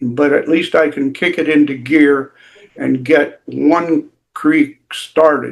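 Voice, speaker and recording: A man speaks very slowly in a fairly high pitch. His intonation stays monotone and flat. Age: 80s+. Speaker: wildlife conservation activist. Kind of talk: casual chat. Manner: halting, many fillers.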